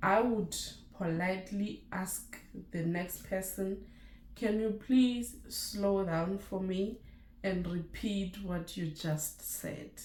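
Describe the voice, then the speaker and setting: A woman's medium-pitched voice at a very slow pace, in a Lesotho accent, with audible room echo. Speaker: nurse and YouTuber. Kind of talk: casual vlog chat.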